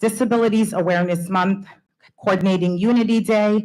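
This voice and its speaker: A woman with a normal speaking voice and ordinary pitch variation. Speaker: school principal. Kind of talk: award speech. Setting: school board meeting.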